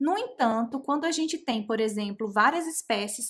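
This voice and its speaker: A woman has an unremarkable speaking voice with a fairly high pitch. She speaks at a moderate pace with ordinary pitch variation. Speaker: genetics educator. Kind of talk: live online lecture.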